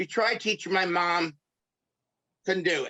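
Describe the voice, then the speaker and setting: This man has a high pitch, a bright, sharp tone and fairly even intonation, in a New York accent. The recording is very clean with a silent background, and the sound is dry and close with no echo. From New York (Brooklyn). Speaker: pastor and craft artist. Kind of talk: interview.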